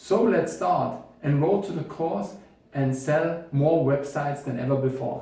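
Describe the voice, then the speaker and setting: A man speaks with a German accent at a fairly high pitch and ordinary pitch variation. Audible room echo surrounds his voice. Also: fairly slow pace. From Bavaria, Germany. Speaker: web developer and course instructor; course instructor. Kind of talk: tutorial.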